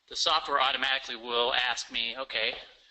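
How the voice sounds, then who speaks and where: A man with a Midwestern American accent talks at a fairly quick pace. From western Nebraska. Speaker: lawyer. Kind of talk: software demonstration presentation. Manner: fast.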